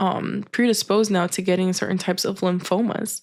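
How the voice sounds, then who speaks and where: A woman speaks in a normal speaking voice, medium in pitch, with fairly even intonation. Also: very clean recording, silent background. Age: 20s. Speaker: vlogger sharing chronic illness story. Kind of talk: personal testimony. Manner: casual, conversational with fillers.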